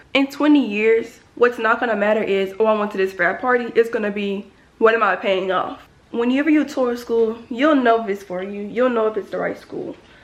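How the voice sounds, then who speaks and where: An animated woman speaks at a moderate pace in a fairly high voice with ordinary pitch variation. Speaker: college student vlogger. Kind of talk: casual vlog talk to camera. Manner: loud.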